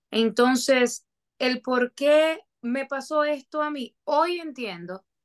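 A woman is heard against a quiet background. The sound is dry and close, with no echo. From Dominican Republic, Moca. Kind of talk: testimony.

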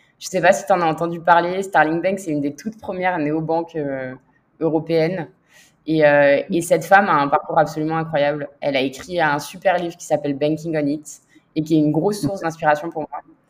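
A woman's very deep, low pitch at a fairly quick pace, with big swings in loudness over a quiet background. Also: fairly even intonation. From southern France, Toulon. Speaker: finance executive. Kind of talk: interview.

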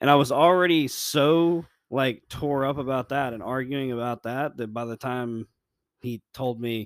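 A man uses a normal speaking voice with an American accent at medium pitch. His pitch varies an ordinary amount, and the sound is dry and close with no echo. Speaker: podcast co-host. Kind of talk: casual chat about faith.

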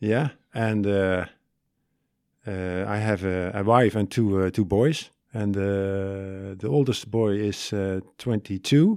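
A man with a Limburg accent talks at a very slow pace, his pitch fairly low and his intonation fairly even. The recording is very clean, with a silent background. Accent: Dutch-accented English, Limburg. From Netherlands, Limburg. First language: Dutch. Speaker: university study advisor. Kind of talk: casual interview. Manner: halting.

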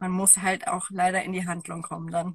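This is a woman speaking. Her pitch is medium. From Germany. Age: 30s. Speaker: women's coach. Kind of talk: interview. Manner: halting.

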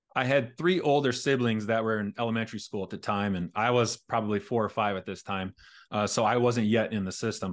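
Against a quiet background, a man with an American accent and a plain, everyday voice speaks fairly quickly at a medium pitch with ordinary pitch variation. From rural Indiana. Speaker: former teacher and author. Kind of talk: interview.

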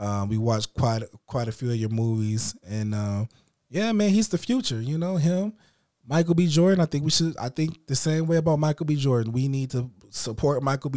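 The speaker has an unremarkable speaking voice. The intonation is lively. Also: man, medium pitch for a man, fairly quick pace. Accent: American. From Illinois. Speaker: podcast host. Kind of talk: casual chat.

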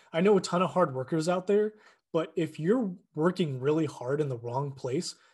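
This man has a fairly high pitch and ordinary pitch variation, sounding somewhat breathy. He talks at a moderate pace against a quiet background. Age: 20s. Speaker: fitness podcaster. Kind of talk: solo monologue. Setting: at a desk. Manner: casual, with many fillers.

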